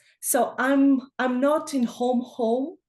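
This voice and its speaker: A woman speaks with a Russian accent. The background is quiet. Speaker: trainer, webinar participant. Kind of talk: casual chat.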